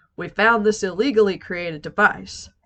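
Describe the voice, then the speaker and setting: Using a gruff, put-on character voice, a woman speaks at a medium pitch and a moderate pace in a serious tone. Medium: read story. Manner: gruff, serious.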